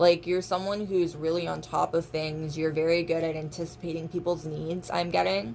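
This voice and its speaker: A woman with a fairly low voice speaks at a moderate pace with hardly any pauses and fairly even intonation over noticeable background noise. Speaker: tarot reader. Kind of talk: tarot reading to camera. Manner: casual, rambling.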